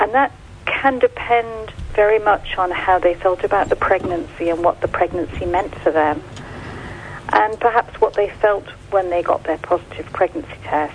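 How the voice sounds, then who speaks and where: Her pitch sits at medium, and she keeps a moderate pace with lively intonation. There is noticeable background noise behind the woman. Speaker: charity director. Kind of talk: radio interview. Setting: phone call. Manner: halting.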